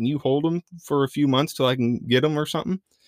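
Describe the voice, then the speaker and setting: Very fast speech with a Midwestern US accent, dry and close with no echo. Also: man. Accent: US Midwest. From Iowa, Madison County. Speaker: mule rider and trainer. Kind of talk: casual chat. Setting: studio.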